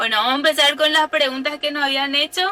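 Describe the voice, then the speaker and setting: A woman with a high pitch speaks in a raised, projected voice. Background noise is noticeable. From Paraguay, Capiatá (Central department). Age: 20s. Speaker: van-life vlogger. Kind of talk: casual chat.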